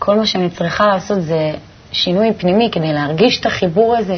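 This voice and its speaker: A woman speaks with lively intonation at a moderate pace. Noticeable background noise runs underneath. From Tel Aviv, Israel. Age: 20s. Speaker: shop saleswoman, kabbalah student. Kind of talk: interview.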